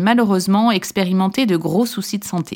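A woman's medium-pitched, normal speaking voice at a moderate pace, with ordinary pitch variation, on a very clean recording with a silent background. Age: 40s. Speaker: pharmacist and podcast host. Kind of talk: scripted narration.

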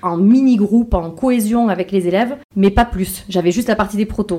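Her tone is dark and mellow. The woman's pitch is fairly high. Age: 30s. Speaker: fashion entrepreneur. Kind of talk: casual interview. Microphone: poor sound quality.

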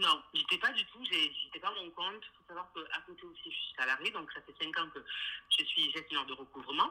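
At a fairly quick pace, a woman speaks over noticeable background noise. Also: big swings in loudness. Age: 20s. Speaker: interior designer. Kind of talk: interview.

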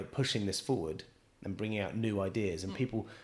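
A man speaks at a fairly quick pace in a West Country accent. His pitch sits in the medium range. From England, Bristol. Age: 30s. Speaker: chef. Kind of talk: casual interview. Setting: restaurant.

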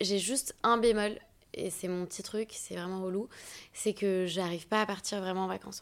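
Speaking at a fairly slow pace, a woman has a plain, everyday voice of medium pitch and fairly even intonation. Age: 30s. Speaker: agency co-founder and talent manager. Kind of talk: casual interview.

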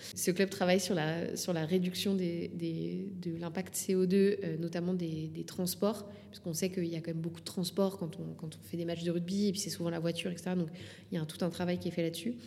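Speaking at a moderate pace, a woman with a fairly low pitch keeps her intonation fairly even. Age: 30s. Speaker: sports federation communications manager. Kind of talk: interview conversation. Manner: halting.

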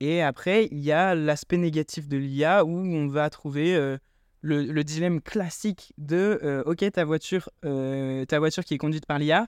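An unremarkable speaking voice at a fairly slow pace with fairly even intonation, dry and close with no echo, over a quiet background. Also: man. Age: 20s. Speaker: student startup founder. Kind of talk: interview.

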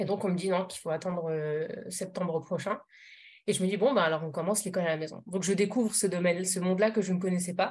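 Talking at a very fast pace yet with long, frequent pauses, a woman sounds somewhat breathy at a medium pitch with fairly even intonation. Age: 30s. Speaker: parenting coach. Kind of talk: casual interview. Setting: podcast recording. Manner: hesitant, frequent fillers.

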